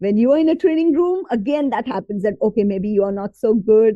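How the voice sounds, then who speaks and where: The speaker is a woman. She goes fairly fast, and her pitch leaps over a very wide range. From India, Bombay area, Gujarati family. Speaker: communication coach and trainer. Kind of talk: podcast interview.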